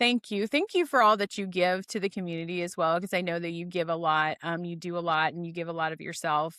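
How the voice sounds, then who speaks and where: With an American accent, a woman talks at a fairly quick pace, with ordinary pitch variation. Her tone is bright and sharp, and the sound is dry and close with no echo. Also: fairly low pitch for a woman. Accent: slight northern US accent, per others. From North Dakota, US. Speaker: podcast host. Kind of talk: interview podcast chat. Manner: animated.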